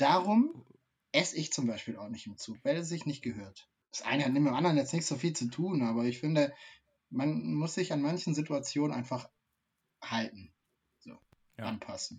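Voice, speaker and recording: A man with a fairly high pitch speaks at a moderate pace, leaving long, frequent pauses. His voice is somewhat breathy, with lively intonation and big swings in loudness. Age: 30s. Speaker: streaming show co-host. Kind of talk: casual chat.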